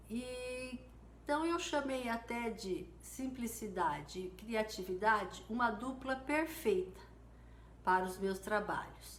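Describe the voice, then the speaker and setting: Very slow, lively intonation from a woman, with audible room echo. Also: fairly high pitch for a woman. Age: 60s. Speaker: mosaic artist. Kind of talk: live stream tutorial. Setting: live stream.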